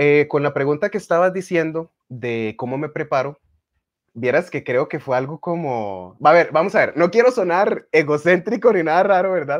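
A man's fairly high voice proceeds at a moderate tempo. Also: lively intonation, quiet background. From Costa Rica. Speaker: magician and radio announcer; radio announcer. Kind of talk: casual interview. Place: home room. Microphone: video call.

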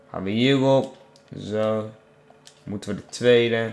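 A man speaks at a very slow pace with a fairly low pitch. Noticeable background noise runs under his voice. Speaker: gaming YouTuber. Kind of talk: casual gameplay commentary. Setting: home recording, gameplay video. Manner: animated.

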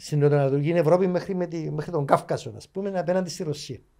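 In a Cypriot accent, a man speaks with a dark, mellow tone, fairly even intonation and a moderate pace. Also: quiet background. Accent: Cypriot Greek. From Cyprus. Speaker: author and journalist; journalist. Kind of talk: interview. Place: studio. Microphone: studio mic.

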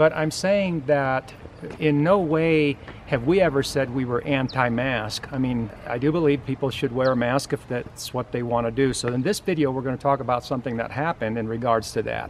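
Light background noise sits under a voice moving at a moderate pace with ordinary pitch variation. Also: man. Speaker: channel host. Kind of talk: casual vlog chat. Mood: earnest, a bit defensive. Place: garden. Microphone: phone near.

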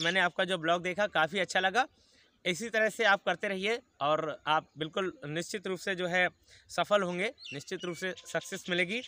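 Raised, projected voice with a bright, sharp tone, ordinary pitch variation and a moderate pace, in a dry sound with no echo and light background noise. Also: man. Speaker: vlogger. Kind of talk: casual vlog chat, answering viewer comments. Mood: friendly, encouraging. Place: open country.

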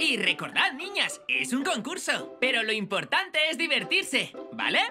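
A woman does a cartoonish character voice, fairly high in pitch with very wide pitch swings, at a fairly slow pace. Her tone is bright and sharp with a slightly husky edge, and faint music plays in the background.

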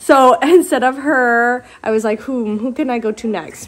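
Light background noise sits under the recording. The woman speaks with lively intonation. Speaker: mom vlogger. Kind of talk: casual vlog chat. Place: home room. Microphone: phone near.

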